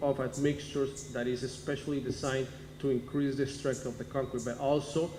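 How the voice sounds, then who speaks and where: Audible room echo surrounds this voice. A man speaks at a fairly high pitch. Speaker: cement company marketing manager. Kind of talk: technical presentation. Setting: town hall meeting. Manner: halting, with fillers and self-corrections.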